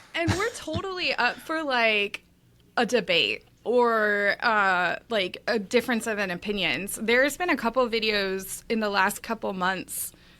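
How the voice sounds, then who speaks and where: Speaking at a fairly slow pace, a woman uses lively intonation with a fairly high pitch and a bright, sharp tone. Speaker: tennis gear play-tester and content creator. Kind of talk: casual chat. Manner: scattered, all over the place.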